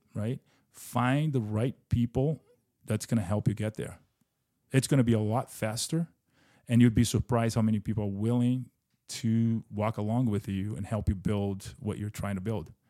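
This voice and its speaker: A man with a Portuguese accent speaks at medium pitch and a moderate pace, his dark, mellow tone showing ordinary pitch variation between long, frequent pauses on a very clean recording with a silent background. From Brazil. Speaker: business founder and real estate investor. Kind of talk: casual interview.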